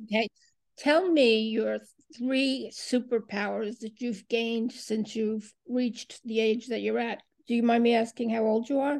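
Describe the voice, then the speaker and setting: Using a plain, everyday voice, a woman with a fairly high pitch speaks at a fairly slow pace with fairly even intonation. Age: 60s. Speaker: podcast host. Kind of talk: interview.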